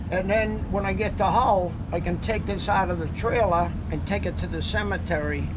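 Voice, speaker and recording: With a Boston accent, a man talks at a moderate pace with hardly any pauses, amid noticeable background noise and audible room echo. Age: 80s+. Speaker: retired mover and truck owner. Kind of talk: casual interview.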